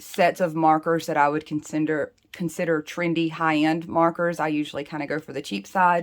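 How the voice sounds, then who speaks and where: A woman with an American accent and a very deep, low pitch speaks at a moderate pace with fairly even intonation, in a very clean recording with a silent background. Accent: Southern US accent, kept in check. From US South. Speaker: planner and doodle creator. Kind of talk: tutorial. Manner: casual, chatty.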